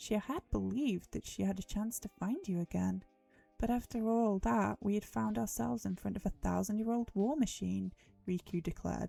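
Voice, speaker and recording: A woman speaks at a moderate pace. The sound is dry and close with no echo, and music plays in the background. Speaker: livestreamer. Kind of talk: dramatic reading of a novel.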